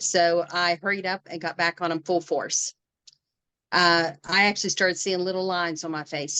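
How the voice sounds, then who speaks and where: A woman with a West Virginia accent speaks in a fairly low pitch, her tone bright and sharp, her intonation monotone and flat, in a dry, close sound with no echo. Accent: West Virginia Appalachian. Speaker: direct sales consultant. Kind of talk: casual chat.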